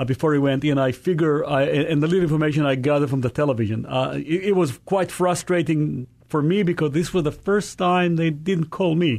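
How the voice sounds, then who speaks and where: A man with a normal speaking voice talks at a fairly quick pace in a fairly high pitch, keeping very even loudness and ordinary pitch variation. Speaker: Israeli tour guide. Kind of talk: radio interview answer. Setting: radio studio.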